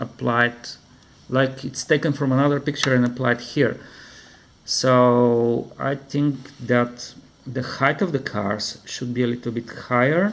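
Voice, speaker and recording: A man with a non-native accent at a fairly slow pace, medium pitch and fairly even intonation. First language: not English. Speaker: comic book reviewer. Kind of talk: product review. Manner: halting.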